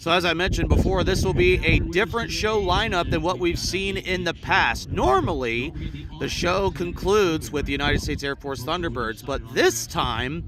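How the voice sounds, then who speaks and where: A man speaks at a high pitch. Noticeable background noise sits behind him. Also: lively intonation, moderate pace. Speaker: airshow livestream host. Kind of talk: live commentary. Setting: outdoors at airshow. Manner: loud, talking over speakers.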